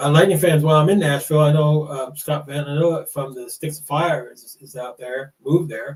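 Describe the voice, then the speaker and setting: Somewhat breathy and fairly high in pitch, a man talks at a fairly quick pace with fairly even intonation. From United States. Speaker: podcast host. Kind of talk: casual chat. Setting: live stream. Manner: halting, many fillers.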